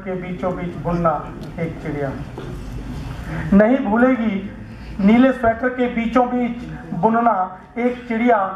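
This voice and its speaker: Very slow delivery with long, frequent pauses and ordinary pitch variation, plus audible room echo and light background noise. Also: man. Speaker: poet. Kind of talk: poetry reading at a literary gathering. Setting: radio broadcast recording of a poetry event. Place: stage. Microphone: headset.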